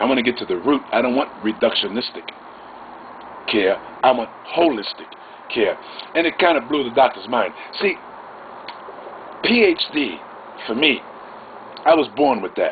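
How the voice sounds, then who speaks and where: A man with a medium pitch speaks with lively intonation and long, frequent pauses. Noticeable background noise runs underneath. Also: moderate pace. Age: 50s. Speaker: vlogger. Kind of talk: monologue storytelling. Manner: halting.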